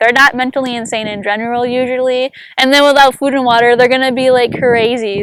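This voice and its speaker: The woman's high-pitched voice comes across dry and close, with no echo. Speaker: survival and superfood vlogger. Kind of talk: casual tutorial. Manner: fast; animated.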